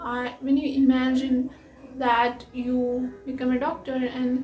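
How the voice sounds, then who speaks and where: A woman with a Keralan accent speaks at a high pitch in a monotone, flat intonation. Audible room echo and noticeable background noise surround her. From Kerala, India. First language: Malayalam. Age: 20s. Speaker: machine learning engineer and content creator. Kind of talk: casual talk to camera. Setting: talking to a camera. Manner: halting.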